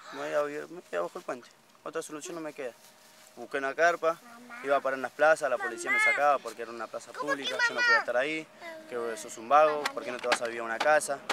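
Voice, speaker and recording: A man talks at a very fast pace with big swings in loudness, in a dry sound with no echo over loud background noise. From Buenos Aires province, Argentina. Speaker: homeless father walking with his family. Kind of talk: street interview. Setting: outdoors by the roadside. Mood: earnest, somewhat weary. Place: open country.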